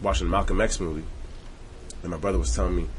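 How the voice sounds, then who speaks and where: Audible room echo surrounds a man speaking. His voice is very deep and low, with ordinary pitch variation. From Montreal, Canada. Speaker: rapper. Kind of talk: casual interview.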